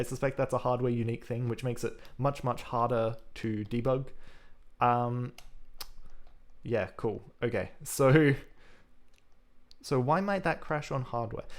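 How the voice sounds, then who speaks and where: A man speaks with an Australian accent and ordinary pitch variation. His speech has long, frequent pauses. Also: medium pitch for a man. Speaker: programming live streamer. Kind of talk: live coding stream chat. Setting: live stream. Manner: fast.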